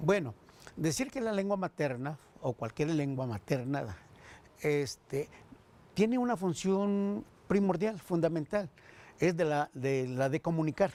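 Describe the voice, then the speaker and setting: A man with a dark, mellow tone speaks at a fairly high pitch and a fairly slow pace, with lively intonation. He takes long, frequent pauses. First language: Totonac (speaking Spanish). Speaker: education official. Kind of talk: tv interview. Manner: hesitant, many fillers.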